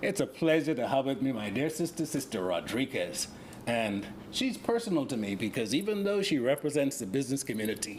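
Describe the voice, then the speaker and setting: Very wide pitch swings run through this fairly quick delivery with a Bahamian accent. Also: man, fairly high pitch for a man. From Bahamas. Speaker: relief coordinator. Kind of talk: casual interview. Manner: halting.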